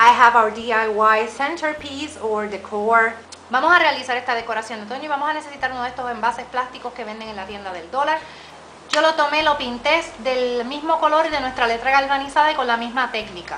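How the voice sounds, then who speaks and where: Fairly quick speech in a Puerto Rican accent, with ordinary pitch variation and big swings in loudness, over noticeable background noise and audible room echo. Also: woman, high pitch for a woman. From Puerto Rico. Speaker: DIY crafts YouTuber. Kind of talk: tutorial.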